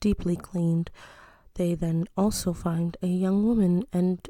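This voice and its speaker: A woman's fairly low, somewhat breathy voice at a fairly slow pace. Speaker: mom ASMR storyteller. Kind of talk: bedtime-style storytelling, casual and chatty. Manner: casual, humorous, asides and self-interruptions.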